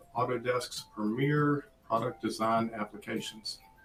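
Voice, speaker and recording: Music plays in the background. The speaker has an American accent and a fairly slow pace. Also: man. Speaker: applications engineer presenter. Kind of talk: webinar presentation.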